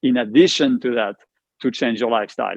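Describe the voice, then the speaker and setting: This man speaks with a French accent and ordinary pitch variation. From France. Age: 50s. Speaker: cancer survivor. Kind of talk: casual interview conversation.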